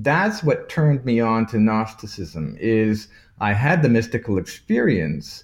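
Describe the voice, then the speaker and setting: Against a quiet background, a man speaks at a moderate pace in a medium pitch, sounding somewhat breathy. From Toronto, Canada, of Maltese parents. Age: 50s. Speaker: artist, author and lecturer on Gnosticism. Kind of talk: casual interview, explaining. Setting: video call from abroad, remote.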